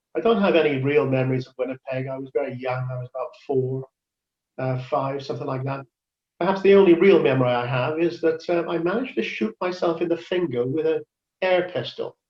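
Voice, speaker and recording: Speaking at a fairly quick pace in a Cardiff accent, a man uses a fairly high pitch with ordinary pitch variation and big swings in loudness. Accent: Welsh (Cardiff). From Wales, Cardiff. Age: 70s. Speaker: ukulele player and church member. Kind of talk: interview about his life. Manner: halting, many fillers.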